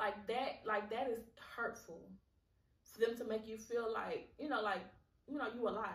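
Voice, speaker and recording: A woman speaks with a fairly high pitch and a somewhat breathy voice, at a moderate pace. Her long, frequent pauses are heard with audible room echo. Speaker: podcast host. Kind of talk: solo podcast monologue. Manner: halting, repeats words; casual, conversational.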